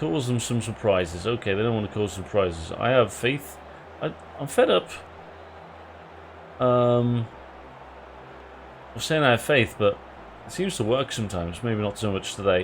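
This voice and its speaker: A man with an English accent speaks with long, frequent pauses. Noticeable background noise runs behind him. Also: medium pitch for a man, ordinary pitch variation, moderate pace. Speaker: streamer playing football manager game. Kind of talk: live stream commentary. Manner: slurs words; casual, many fillers.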